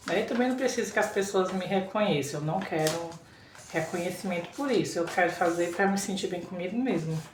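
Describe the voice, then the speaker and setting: A woman with a fairly low voice speaks at a moderate pace with ordinary pitch variation, her words carrying audible room echo over noticeable background noise. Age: 30s. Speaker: vlogger. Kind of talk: casual vlog talk.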